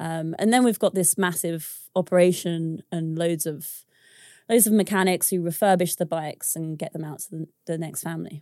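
A dark, mellow voice with a British accent moves at a moderate pace. Intonation stays fairly even while loudness swings widely. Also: woman, fairly low pitch for a woman, dry, close sound with no echo, very clean recording, silent background. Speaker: business founder. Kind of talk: casual interview chat.

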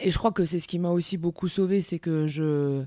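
Her tone is dark and mellow, the pitch fairly low for a woman, the intonation fairly even. The recording is very clean with a silent background. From France, Alsace. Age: 30s. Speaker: basketball coach. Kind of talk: interview.

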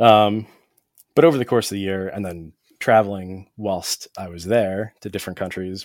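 A man with a plain, everyday voice, fairly low in pitch, talks at a moderate pace with fairly even intonation and big swings in loudness, on a very clean recording with a silent background. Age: 30s. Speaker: photographer. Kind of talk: casual chat.

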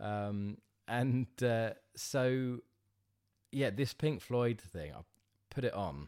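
A man at a very slow pace, medium in pitch, with lively intonation, big swings in loudness, and long, frequent pauses. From Southend, Essex. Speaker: live sound engineer and clothing brand founder. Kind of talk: casual interview. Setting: at his home.

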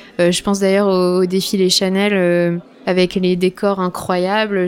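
At a very slow pace, a woman talks in a medium pitch. Her intonation is monotone and flat. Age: 20s. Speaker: visual artist. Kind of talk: casual interview. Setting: studio set up as a bar.

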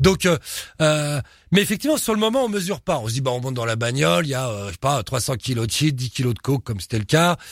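At a fairly quick pace, a man with a medium pitch sounds somewhat breathy, recorded very cleanly over a silent background. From Paris suburbs, Pantin (Seine-Saint-Denis). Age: 50s. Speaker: crime and tattoo author. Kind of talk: casual interview.

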